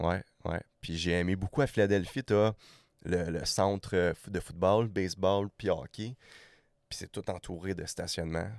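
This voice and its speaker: A man with a very deep, low pitch speaks at a fairly slow pace with fairly even intonation. The sound is dry and close with no echo, on a very clean recording with a silent background. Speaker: podcast guest, hockey traveler. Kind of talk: casual interview chat.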